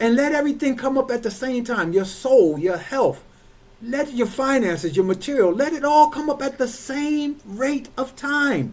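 A man's extremely high-pitched voice, moderate in pace, with ordinary pitch variation. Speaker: church overseer, preacher. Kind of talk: sermon delivered to a congregation. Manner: emphatic, rhythmic, repetitive preaching delivery. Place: home room. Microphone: webcam.

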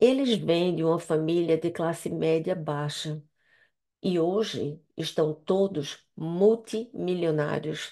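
A woman with a Brazilian accent speaks very slowly at a fairly low pitch in a dark, mellow tone, with ordinary pitch variation and a quiet background. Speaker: interpreter practice speaker; speaker. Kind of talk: prepared practice speech. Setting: video call. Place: home room. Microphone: headset.

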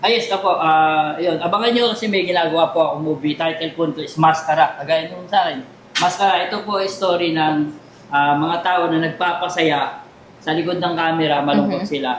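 A man with a high pitch talks at a fairly quick pace amid audible room echo and noticeable background noise. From Taytay, Rizal, Philippines. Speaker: comedian and magician. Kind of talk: interview.

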